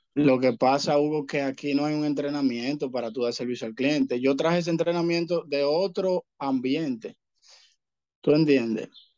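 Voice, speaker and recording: This man has a fairly high pitch and ordinary pitch variation. His pace is moderate. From Dominican Republic. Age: young. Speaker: rideshare driver, former bank employee. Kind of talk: casual chat.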